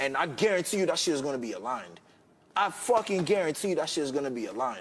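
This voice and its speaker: The voice has vocal fry and lively intonation, delivered at a very fast pace. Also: man. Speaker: reality TV contestant. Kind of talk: heated argument. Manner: loud.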